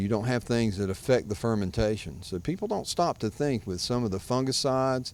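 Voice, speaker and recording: A man's medium-pitched voice at a moderate pace. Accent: strong Southern US. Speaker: vineyard owner and winemaker. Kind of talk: interview.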